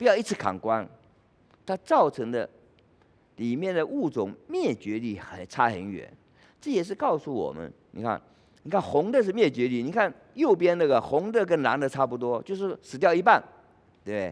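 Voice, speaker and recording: A man with a fairly high pitch talks at a moderate pace, using very wide pitch swings, big swings in loudness and long, frequent pauses. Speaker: forest ecologist, professor; professor. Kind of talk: lecture. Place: hall.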